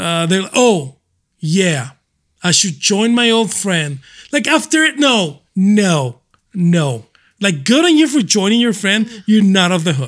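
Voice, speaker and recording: A man's high voice with very wide pitch swings, fairly slow and broken by long, frequent pauses, on a very clean recording with a silent background. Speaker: MMA journalist and analyst. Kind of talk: casual chat.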